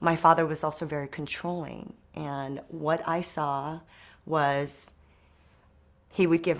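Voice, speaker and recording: A woman speaks at a fairly slow pace in a very deep, low voice. Her intonation stays fairly even. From South Korea, moved to US at age five. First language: Korean. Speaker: wealth management business owner. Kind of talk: interview.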